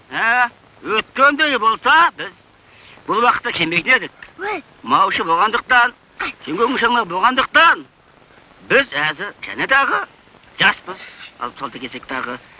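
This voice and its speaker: Over noticeable background noise, a man with an extremely high pitch and a raised, projected voice speaks very slowly, with very wide pitch swings, big swings in loudness and long, frequent pauses. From Xinjiang, China. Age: 60s. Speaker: herder and commune party cadre. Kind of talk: family address to camera.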